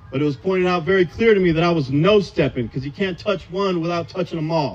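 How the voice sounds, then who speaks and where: Over background music, a man talks very fast in a high pitch with ordinary pitch variation. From Southern California. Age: 30s. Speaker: AA speaker. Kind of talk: recovery testimony. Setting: outdoors in a park, audience.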